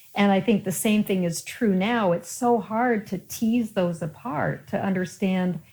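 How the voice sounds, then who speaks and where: In an American accent, a woman speaks somewhat breathily at a moderate pace with ordinary pitch variation, on a very clean recording with a silent background. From Colorado. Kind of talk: interview.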